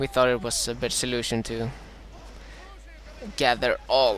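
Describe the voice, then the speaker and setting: A man speaks with a Swedish accent at a moderate pace. Noticeable background noise can be heard. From Sweden. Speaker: gaming commentator. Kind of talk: live gameplay commentary. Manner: halting, many fillers.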